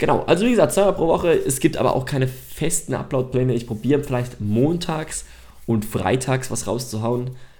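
A man's medium-pitched voice with a dark, mellow tone, somewhat breathy, at a fairly quick pace, with audible room echo. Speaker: podcast host. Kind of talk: solo podcast monologue. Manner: unscripted, with many fillers.

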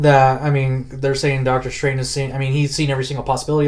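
Over audible room echo, a man with a medium pitch talks at a very fast pace in a flat monotone. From US, Colorado (North Denver). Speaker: comic and collectibles collector. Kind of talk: casual interview chat.

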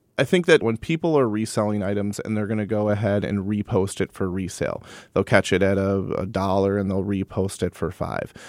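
With an American accent, a man talks in a normal speaking voice at fairly low pitch and a fairly quick pace, barely pausing, with ordinary pitch variation and a dry, close sound with no echo on a very clean recording with a silent background. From Wisconsin, Madison. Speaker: thrift store retail director. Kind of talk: interview. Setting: studio.

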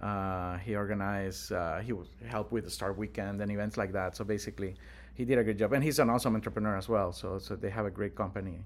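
A man's fairly low voice with vocal fry, in a Spanish accent, at a very fast pace with ordinary pitch variation. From Honduras. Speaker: tech entrepreneur. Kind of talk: casual interview. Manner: hesitant with frequent fillers.

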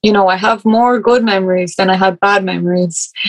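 With an Irish accent, a woman talks at a medium pitch with fairly even intonation. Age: 20s. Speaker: writer. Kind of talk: interview conversation.

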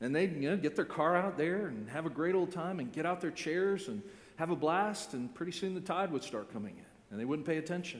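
A man talks at a fairly quick pace with an American accent and lively intonation. His pitch is high, and room echo is audible. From Florida, US. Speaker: pastor. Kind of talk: sermon.

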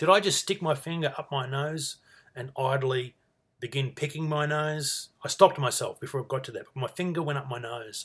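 With an Australian accent, a man speaks at a fairly quick pace and fairly high pitch, using ordinary pitch variation and big swings in loudness. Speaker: podcaster. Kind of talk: solo casual monologue.

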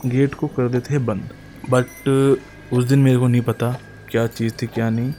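Noticeable background noise sits behind a man speaking at medium pitch with monotone, flat intonation. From Haryana, Gurgaon district (Sohna). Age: 20s. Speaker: podcaster. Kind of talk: storytelling.

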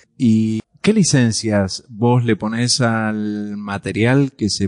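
A man's medium-pitched voice at a very slow pace, fairly even in intonation, with a dry, close sound free of echo over a quiet background. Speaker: podcast host. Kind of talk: interview. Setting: university.

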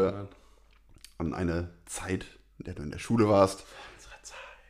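A man with a Rhineland accent speaks at a moderate pace. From Rhineland, western Germany. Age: 30s. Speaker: podcast co-host. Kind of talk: casual chat.

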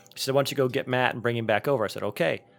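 Music can be heard in the background. A man speaks with fairly even intonation. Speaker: podcast host. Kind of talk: casual chat.

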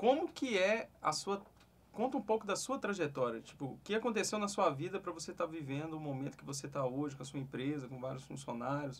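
An ordinary speaking voice from a man, fairly high in pitch, fairly quick, with lively intonation. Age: 30s. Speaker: digital marketing podcast host. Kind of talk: interview. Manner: casual.

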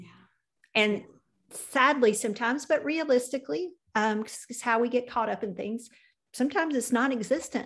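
Against a quiet background, a woman with a Southern US accent speaks at a high pitch with lively intonation, big swings in loudness, and long, frequent pauses. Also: moderate pace. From US South. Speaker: podcast host. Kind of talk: interview conversation.

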